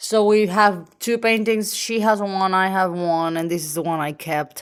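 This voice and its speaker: A woman with a Venezuelan accent, medium-pitched, at a moderate pace with ordinary pitch variation. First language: Spanish. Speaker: artist. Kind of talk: casual sketchbook tour.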